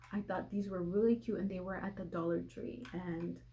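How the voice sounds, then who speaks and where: There is audible room echo as a woman at a medium pitch talks at a fairly quick pace. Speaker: lifestyle vlogger. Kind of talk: casual haul video.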